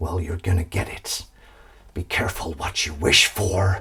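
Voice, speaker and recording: A man's put-on character voice, growling and very deep, monotone and flat, at a moderate pace. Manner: exaggerated, poorly done.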